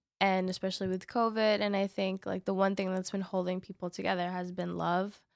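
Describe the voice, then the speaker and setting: In a Spanish accent, a woman speaks fairly quickly at a medium pitch with monotone, flat intonation, captured in a very clean, dry, close recording with no echo and a silent background. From New York City. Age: 20s. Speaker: singer-songwriter and poet. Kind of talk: casual interview.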